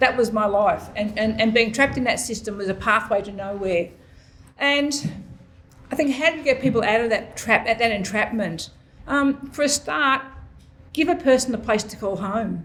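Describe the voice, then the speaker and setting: With an Australian accent, a woman speaks at a moderate pace in a fairly high voice with ordinary pitch variation. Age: 70s. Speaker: mental health peer leader. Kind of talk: panel discussion. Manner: halting, repeats words.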